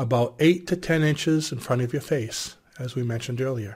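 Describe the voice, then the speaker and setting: This man's voice has a somewhat breathy quality. Its pitch sits in the medium range. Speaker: hypnosis instructor. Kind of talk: guided hypnosis induction. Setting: video to camera. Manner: gentle, directive, measured.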